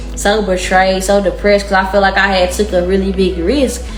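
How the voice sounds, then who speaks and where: A woman with an American accent speaks at a moderate pace. Music plays in the background, and audible room echo surrounds the voice. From Texas, Dallas. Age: 20s. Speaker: tarot reader. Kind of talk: casual tarot reading monologue. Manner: animated.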